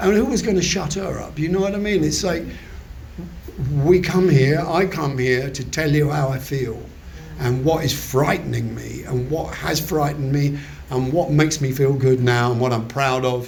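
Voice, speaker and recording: Speaking with a southern English accent, a man uses a fairly high pitch at a moderate pace. There is audible room echo and noticeable background noise. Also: ordinary pitch variation. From southern England. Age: 70s. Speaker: recovery meeting speaker. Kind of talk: testimony. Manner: halting.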